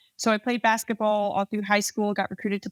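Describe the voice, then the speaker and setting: A woman talks at a very fast pace in a flat monotone, her voice dry and close with no echo on a very clean recording over a silent background. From New Jersey, Central West Jersey. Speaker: army officer. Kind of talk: interview.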